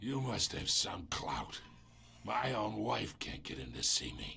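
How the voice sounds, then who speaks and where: Amid clear background noise, a man puts on a raspy character voice and speaks at a fairly slow pace. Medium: video game. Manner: smug, taunting.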